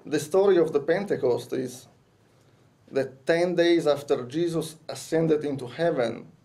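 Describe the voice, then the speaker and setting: A man with a fairly high pitch and a dark, mellow tone speaks at a moderate pace with ordinary pitch variation, with audible room echo. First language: Italian. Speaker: conference speaker. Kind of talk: lecture. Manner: halting.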